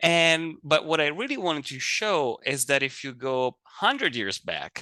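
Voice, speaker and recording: A man with an Italian accent speaks at a fairly slow pace in a bright, sharp tone. The sound is dry and close with no echo, over a quiet background. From Italy. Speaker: fire advisor. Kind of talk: lecture.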